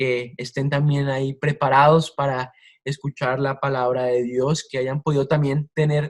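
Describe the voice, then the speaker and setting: Speaking at a fairly slow pace, a man with a fairly high pitch keeps his intonation monotone and flat. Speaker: preacher. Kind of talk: sermon.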